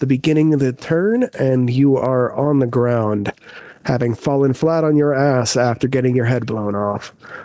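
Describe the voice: Plain reading aloud, its pitch rising and falling in an ordinary way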